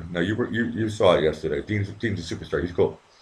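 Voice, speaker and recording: A man speaks very fast at a fairly low pitch, with noticeable background noise behind him. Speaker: livestream host. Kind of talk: casual chat. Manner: soft-spoken.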